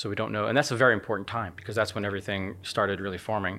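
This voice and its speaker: A man speaks with a fairly low pitch and a bright, sharp tone. His intonation is fairly even. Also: very clean recording, silent background. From United States. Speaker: astronomer and university professor. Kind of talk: casual interview chat explaining science. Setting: in person studio.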